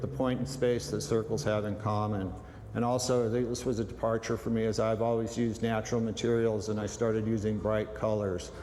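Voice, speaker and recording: In a room with audible echo, a man with an American accent talks at a moderate pace and medium pitch, his intonation fairly even. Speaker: sculptor. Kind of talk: interview. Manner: halting, many fillers.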